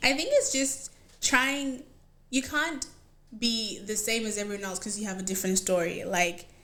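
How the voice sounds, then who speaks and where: A woman speaks at a moderate pace with a fairly high pitch and lively intonation. Noticeable background noise sits behind her. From Zimbabwe, moved to Australia as a teen. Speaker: panel guest. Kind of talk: casual panel discussion.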